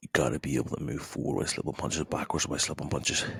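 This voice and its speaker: A quiet man with vocal fry at a very fast pace, in a dry, close sound with no echo. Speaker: MMA coach. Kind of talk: instructional talk to camera. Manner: quiet, low-volume.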